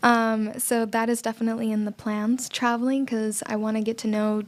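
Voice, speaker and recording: With a Spanish accent, a woman speaks in a fairly high, flat monotone. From Cuba, raised in US from age five. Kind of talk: podcast interview. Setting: studio.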